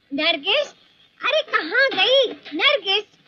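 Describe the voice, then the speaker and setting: Doing a squeaky put-on character voice, a woman hits an extremely high pitch with very wide pitch swings. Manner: shouting.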